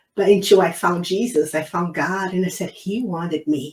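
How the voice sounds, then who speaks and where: At a moderate pace, a woman speaks in a somewhat breathy voice at a medium pitch with ordinary pitch variation. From Brazil. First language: Portuguese. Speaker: abortion survivor and activist. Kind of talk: interview testimony.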